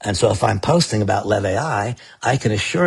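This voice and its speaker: A man speaks in a somewhat breathy, fairly low voice with ordinary pitch variation. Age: 60s. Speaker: network marketing leader. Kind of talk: sales pitch. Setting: live stream.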